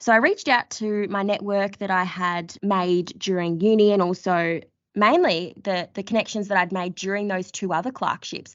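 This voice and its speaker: A woman with an Australian accent speaks at a medium pitch and a moderate pace, with hardly any pauses. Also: fairly even intonation. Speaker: podcast host, lawyer. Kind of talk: casual chat.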